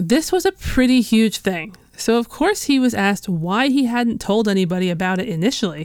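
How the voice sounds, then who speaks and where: With lively intonation and a fairly high pitch, a woman with an unremarkable speaking voice talks at a fairly quick pace. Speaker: podcast host. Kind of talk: true-crime historical narration, scripted and read in measured storytelling. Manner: measured, serious, steady.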